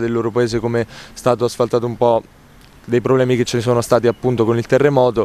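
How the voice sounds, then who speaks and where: Very fast speech with a dry sound and no echo. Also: man. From Marche, Italy. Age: 20s. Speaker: social media comedian and actor. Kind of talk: interview answer. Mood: calm, pleased. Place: garden. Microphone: handheld.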